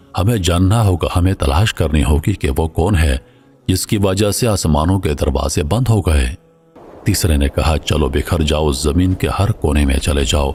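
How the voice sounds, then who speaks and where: Against music in the background, a man speaks in a very deep, low pitch with ordinary pitch variation and very even loudness. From Pakistan. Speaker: voice over artist. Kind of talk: religious story narration.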